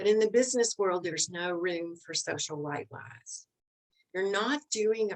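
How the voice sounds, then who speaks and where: Her pitch is medium. This woman has a Southern US accent. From US South. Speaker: leadership expert. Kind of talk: interview.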